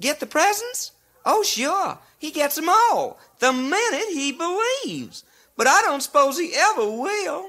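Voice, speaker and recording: A put-on character voice pitched high. It moves along at a moderate pace. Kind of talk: 1950s comedy record.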